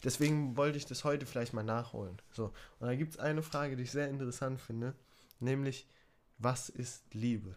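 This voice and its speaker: The speaker moves at a fairly quick pace. It is a plain, everyday voice. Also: man, medium pitch for a man, fairly even intonation. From Germany. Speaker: podcast co-host. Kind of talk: casual chat.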